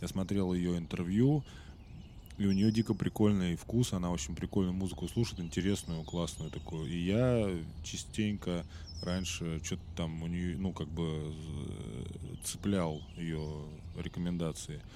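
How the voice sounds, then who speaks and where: Long, frequent pauses break up this man's speech, delivered in a very deep, low pitch. His tone is dark and mellow, with ordinary pitch variation. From Russia. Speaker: podcast host. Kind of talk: casual monologue. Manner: casual, hesitant fillers.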